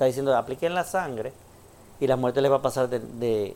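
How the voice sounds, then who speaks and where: Ordinary pitch variation in a man's voice of medium pitch. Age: 50s. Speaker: pastor. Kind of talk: sermon. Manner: halting.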